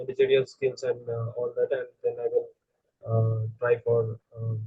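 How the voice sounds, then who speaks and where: The speech comes at a fairly slow pace with a Bengali accent. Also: man. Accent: Indian English (Bengali). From India, West Bengal (Siliguri). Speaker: engineering student, interview candidate. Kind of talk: mock job interview. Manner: halting, many fillers; quiet.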